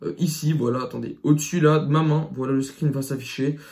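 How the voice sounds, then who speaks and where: A man talks in an animated tone with a fairly high pitch. His voice is somewhat breathy. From France. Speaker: YouTuber. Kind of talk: rant to camera. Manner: stuttering at times.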